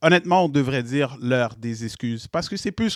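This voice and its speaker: In a very clean, silent-background recording with a dry, close sound and no echo, a man with a fairly high pitch speaks at a moderate pace in an animated tone with lively intonation. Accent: Quebec. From Quebec. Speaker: web show host. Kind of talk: casual panel chat.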